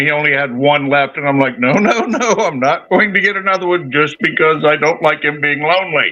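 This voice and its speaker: Speaking at a fairly quick pace, a man with a normal speaking voice uses a fairly high pitch and ordinary pitch variation. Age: 60s. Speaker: fishkeeping hobbyist showing their tank. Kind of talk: casual chat.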